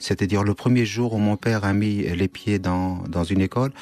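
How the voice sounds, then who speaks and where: A man's fairly low voice with fairly even intonation at a moderate pace. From Syria (Kurdish northeast). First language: Kurdish (speaking French). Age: 50s. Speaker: writer. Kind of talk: radio interview. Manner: halting, with hesitations.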